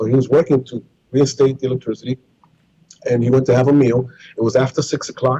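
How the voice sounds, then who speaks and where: Very fast and somewhat breathy, a man speaks with a dark, mellow tone in monotone, flat intonation. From Puerto Rico. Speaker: civil liberties advocate. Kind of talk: interview. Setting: video call. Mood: serious, concerned. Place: office. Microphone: internet connection with possible glitches; video call.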